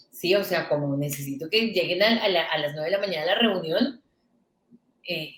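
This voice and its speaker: A woman talks at a fairly quick pace with ordinary pitch variation. Her tone is animated. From Venezuela (Caracas), born in Colombia. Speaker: digital agency founder, entrepreneur. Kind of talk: interview storytelling. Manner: animated, with many restarts.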